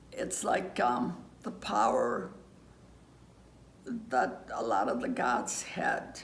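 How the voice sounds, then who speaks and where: Over noticeable background noise, the speech goes at a very slow pace with long, frequent pauses. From Greece. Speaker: interviewee. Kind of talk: interview. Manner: halting.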